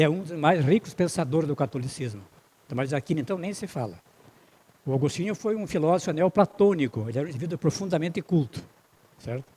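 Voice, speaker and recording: Talking at a very fast pace with lively intonation, the speaker leaves long, frequent pauses. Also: man, fairly high pitch for a man. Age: 80s+. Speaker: spiritist lecturer. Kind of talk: lecture. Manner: halting.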